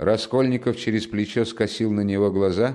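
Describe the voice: This recording features plain reading aloud.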